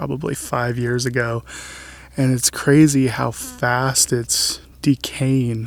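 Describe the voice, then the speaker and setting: A soft-spoken man talks at medium pitch. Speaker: landscape photographer. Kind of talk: tutorial. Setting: outdoors.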